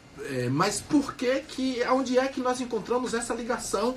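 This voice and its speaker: This man's pitch is extremely high, heard over noticeable background noise. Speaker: radio guest commentator explaining festival history. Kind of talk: radio talk show. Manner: measured, explanatory, with hesitations.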